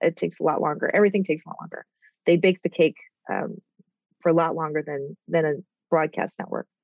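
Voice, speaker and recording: With an American accent, a woman with a fairly low pitch talks at a very fast pace with long, frequent pauses and fairly even intonation, in a dry, close sound with no echo. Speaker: TV development executive and author. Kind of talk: casual interview chat. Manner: rambly.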